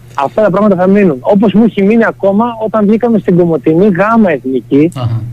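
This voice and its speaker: Very wide pitch swings come at a fairly quick pace, with hardly any pauses and very even loudness. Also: man, high pitch for a man. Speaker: football player, team captain. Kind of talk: radio interview. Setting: phone call.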